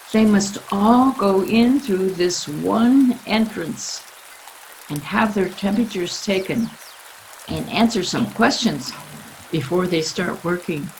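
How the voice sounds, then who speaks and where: Over noticeable background noise, a woman speaks at a very slow pace with medium pitch and ordinary pitch variation. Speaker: author reading her own children's book. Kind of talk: children's story reading.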